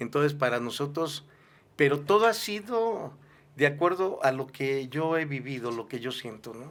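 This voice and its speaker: With a plain, everyday voice, a man speaks at a fairly slow pace in a fairly high pitch, with lively intonation and big swings in loudness. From southern Mexico, Villahermosa, Tabasco. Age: 60s. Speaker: pastor and musician. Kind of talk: interview.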